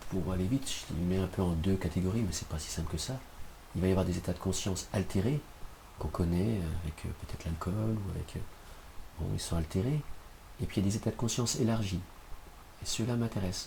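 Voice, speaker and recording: A very fast pace broken by long, frequent pauses, with ordinary pitch variation. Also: man, very deep, low pitch for a man. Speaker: shamanic practitioner. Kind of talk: interview.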